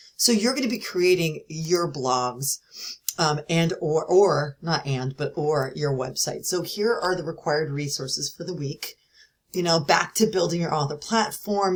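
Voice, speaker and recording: A woman's fairly low, somewhat breathy voice. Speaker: university instructor. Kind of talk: recorded lecture. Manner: fast; casual, with fillers.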